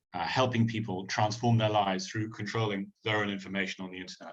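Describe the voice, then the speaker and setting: At a very fast pace, a man with a British accent speaks in a somewhat breathy voice. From United Kingdom. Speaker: tech company representative. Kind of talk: opening remarks. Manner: hesitant, many fillers.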